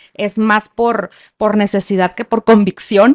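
A woman's unremarkable speaking voice, fairly high in pitch and fairly slow, with a dry, close sound, no echo and a quiet background. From Mexico, Sinaloa (Culiacán). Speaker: former public official, women's rights advocate. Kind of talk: personal testimony in interview.

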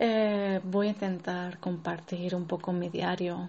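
A woman with a fairly low pitch speaks slowly-ish, at a fairly slow pace, in a somewhat breathy voice with monotone, flat intonation. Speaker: sex therapist and entrepreneur. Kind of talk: casual personal monologue. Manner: unscripted, hesitant.

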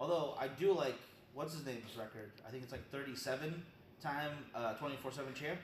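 A man's fairly high pitch over noticeable background noise. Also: ordinary pitch variation, moderate pace. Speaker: co-host. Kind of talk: casual chat.

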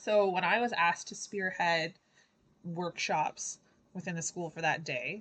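In a plain, everyday voice, a woman speaks at a fairly slow pace with ordinary pitch variation. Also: quiet background. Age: 30s. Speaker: school art workshop leader. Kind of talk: casual chat.

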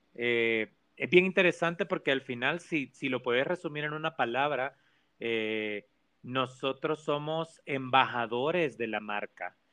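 A man with a Salvadoran accent, medium pitch, ordinary pitch variation and a fairly slow pace. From El Salvador. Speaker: organizational communication professional. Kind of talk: casual interview.

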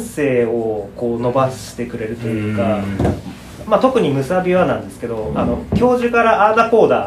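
A man's voice with very wide pitch swings, audible room echo and noticeable background noise. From Saitama, Japan. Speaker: potter. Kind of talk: casual interview chat.

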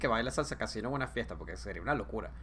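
A man speaks with a Caracas accent. His pace is very fast. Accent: Venezuelan (Caracas). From Venezuela, Caracas area (San Antonio de los Altos). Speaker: podcast guest. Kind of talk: casual chat.

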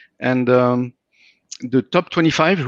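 A man with a French accent, medium in pitch, against a quiet background. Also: dry, close sound with no echo. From France. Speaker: tech company founder. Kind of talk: casual chat. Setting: video call.

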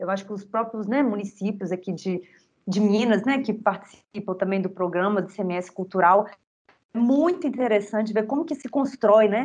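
An unremarkable speaking voice from a woman at medium pitch, moderate pace and ordinary pitch variation. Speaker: podcast host, cultural heritage communicator. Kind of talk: casual interview.

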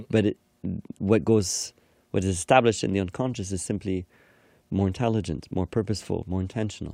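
A man speaks at a fairly quick pace with a fairly low pitch, ordinary pitch variation and a dark, mellow tone, yet leaves long, frequent pauses. The sound is dry and close, with no echo. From Egyptian-Canadian household. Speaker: hypnotherapist and yoga teacher. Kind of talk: casual conversation.

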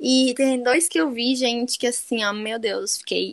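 A woman with a high pitch talks at a fairly slow pace, using ordinary pitch variation. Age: 20s. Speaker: podcast co-host. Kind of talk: casual chat. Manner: animated.

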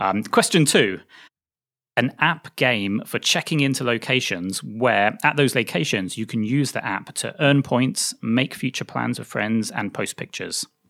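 A man with a British accent speaks at a fairly slow pace in a medium pitch, his bright, sharp tone marked by vocal fry and ordinary pitch variation. The recording is very clean, with a silent background. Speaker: podcast host. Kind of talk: interview conversation.

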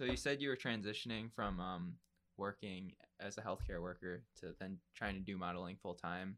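A man speaks with vocal fry at a very deep, low pitch. His intonation is lively and his pace moderate. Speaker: podcast host. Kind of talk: casual interview chat.

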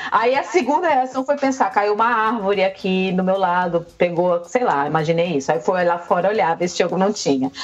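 Very even in loudness and nearly pause-free, the speech moves at a moderate pace over noticeable background noise. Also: woman, medium pitch for a woman, lively intonation. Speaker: Brazilian content creator living in Canada. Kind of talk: casual chat.

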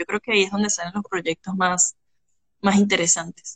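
At a fairly quick pace, a woman talks in a normal speaking voice with medium pitch. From Venezuela. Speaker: pharmaceutical chemist. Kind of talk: casual interview. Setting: Instagram live video call.

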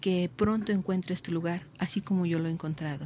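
A woman of medium pitch speaks in a somewhat breathy, dark and mellow voice with fairly even intonation, in a very clean recording with a silent background. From Mexico, Michoacán (Uruapan). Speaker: contemplative nun. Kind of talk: vocation testimony.

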